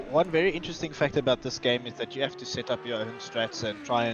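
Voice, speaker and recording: Over noticeable background noise, a man with a South African accent speaks at medium pitch and a fairly quick pace. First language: Afrikaans. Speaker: guest co-commentator. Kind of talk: live commentary.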